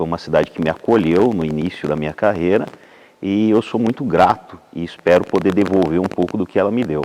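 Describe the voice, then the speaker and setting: A man talks at a fairly quick pace in a very deep, low voice. His pitch varies in an ordinary way. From Santa Catarina, southern Brazil. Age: 40s. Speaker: speech therapist and public health coordinator. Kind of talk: interview.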